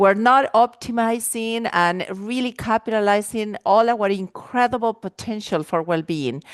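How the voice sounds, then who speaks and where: A woman with an Argentine accent speaks in a fairly high voice with ordinary pitch variation and an animated tone, the sound dry and close with no echo against a quiet background. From Argentina. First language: Spanish. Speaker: life and wellness coach. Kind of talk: podcast interview.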